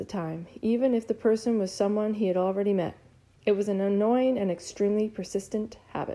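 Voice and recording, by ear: Natural voice reading aloud, with fairly even intonation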